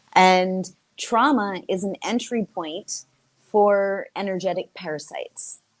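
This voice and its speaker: In an American accent, a woman speaks at a very slow pace and medium pitch with ordinary pitch variation, in a dry, close sound with no echo. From United States. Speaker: somatic sexologist, author. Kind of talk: interview.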